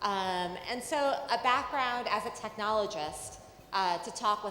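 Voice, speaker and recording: Speaking at a fairly slow pace with lively intonation, a woman with an American accent is heard with audible room echo. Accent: American accent noticed by Indian audience. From New York City. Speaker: journalist, panel moderator. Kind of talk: panel moderation. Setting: conference stage with audience. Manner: conversational, some fillers.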